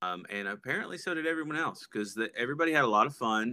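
A man with an American accent and a bright, sharp tone speaks with ordinary pitch variation in a very clean recording with a silent background. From Texas. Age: 30s. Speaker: music promoter and record label owner. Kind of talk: casual chat.

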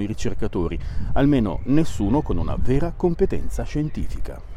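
The speech moves at a fairly quick pace with very wide pitch swings. Audible room echo and noticeable background noise surround it. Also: man. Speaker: science podcast host. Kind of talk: scripted narration. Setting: outdoors. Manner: walking while talking.

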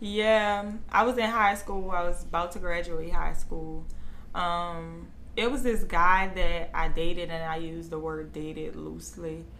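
Room echo is clearly audible as a woman talks at a fairly slow pace. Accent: American. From New Orleans. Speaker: beauty brand owner. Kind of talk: interview.

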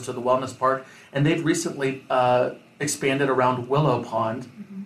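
A man of medium pitch talks with fairly even intonation, keeping a moderate pace. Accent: Midwestern American. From Iowa. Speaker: mayor and restaurant owner. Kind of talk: interview.

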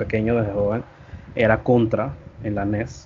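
A man talks in a normal speaking voice, keeping a medium pitch, a moderate pace and fairly even intonation. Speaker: gaming content creator. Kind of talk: casual chat.

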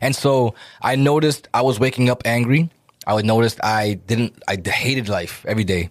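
An ordinary speaking voice from a man with an American accent, medium in pitch, with ordinary pitch variation and a fairly quick pace. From Dominican community, US. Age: 30s. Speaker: music artist and producer. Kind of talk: casual chat. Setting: studio.

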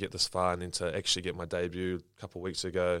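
Very deep and low in pitch, a man with a New Zealand accent speaks at a fairly quick pace in a very clean recording with a silent background. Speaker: professional rugby player. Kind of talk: interview.

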